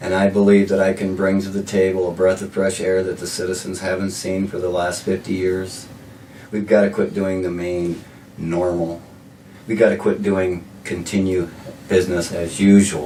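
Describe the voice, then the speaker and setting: A man speaks in a very deep, low voice with monotone, flat intonation over noticeable background noise. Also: moderate pace. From South Dakota, Sioux Falls. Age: 60s. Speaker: mayoral candidate. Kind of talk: interview. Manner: halting, repeats words.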